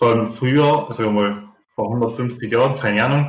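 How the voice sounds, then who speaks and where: Somewhat breathy man with a Tyrolean accent, medium pitch and a moderate pace, with audible room echo. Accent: Tyrolean Austrian German. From Austria, Tyrol. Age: 30s. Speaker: pipe maker. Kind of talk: interview.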